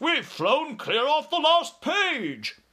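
A man's put-on character voice, extremely high and bright with a sharp tone, slow in pace with very wide pitch swings

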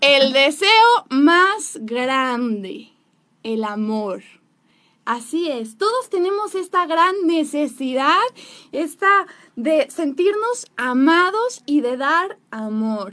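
A woman's high, bright, sharp voice, raised and projected, very slow, with very wide pitch swings. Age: 20s. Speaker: relationship speaker. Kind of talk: talk-show interview.

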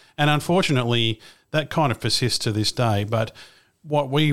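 With an Australian accent, a man speaks at a fairly quick pace. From Australia, Melbourne. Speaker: aviation podcaster and pilot. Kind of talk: interview.

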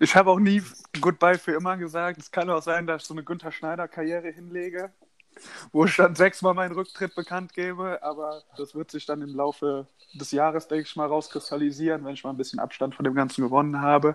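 His pitch fairly high for a man, a man talks at a fairly quick pace in a plain, everyday voice with fairly even intonation. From Rhineland, Germany. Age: 20s. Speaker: handball player. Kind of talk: casual interview. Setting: remote call.

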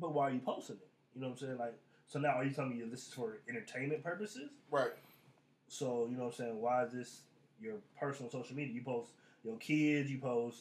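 A man rattles along at a very fast pace, yet takes long, frequent pauses, with ordinary pitch variation. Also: medium pitch for a man. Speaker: podcast co-host. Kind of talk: casual banter podcast.

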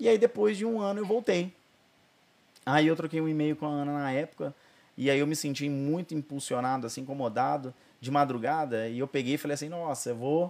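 With lively intonation and a fairly quick pace, a man talks in an ordinary speaking voice. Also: fairly high pitch for a man. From Brazil, Ribeirão Preto (São Paulo state). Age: 30s. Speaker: pastor and therapist. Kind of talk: testimony. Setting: studio.

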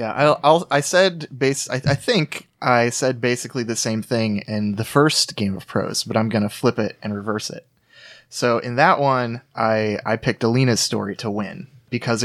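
With an unremarkable speaking voice, a man talks at a moderate pace and medium pitch, with ordinary pitch variation and hardly any pauses, in a very clean recording with a silent background. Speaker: podcast guest. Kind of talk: casual chat.

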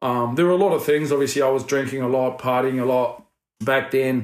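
Here a man speaks with a New Zealand accent at a fairly quick pace. His pitch is medium, with ordinary variation. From New Zealand, Wellington. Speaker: former rugby league player turned property investment businessman. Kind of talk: casual interview chat.

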